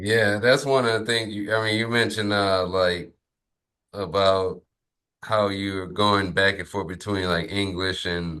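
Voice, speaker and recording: Over a quiet background, a man with a Louisiana accent speaks fairly slowly with a fairly low pitch, a bright, sharp tone and fairly even intonation. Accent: Southern US (Louisiana). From Lafayette, Louisiana. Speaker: podcast host. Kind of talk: podcast interview.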